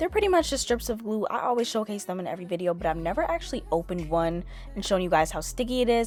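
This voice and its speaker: Music plays in the background as a woman talks at a very fast pace with lively intonation. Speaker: beauty youtuber. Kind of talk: tutorial. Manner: casual.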